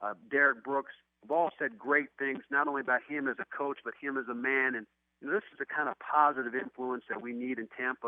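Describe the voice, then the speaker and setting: In a normal speaking voice, a man talks at a fairly quick pace with medium pitch and fairly even intonation. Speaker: former linebacker and football analyst. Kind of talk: radio sports interview answer.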